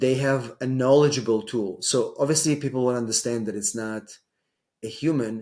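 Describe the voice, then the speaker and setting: With an Israeli accent, a man talks at a moderate pace in a dark, mellow tone, his medium-pitched voice keeping fairly even intonation. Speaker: immigration lawyer. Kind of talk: interview. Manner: hesitant, many fillers.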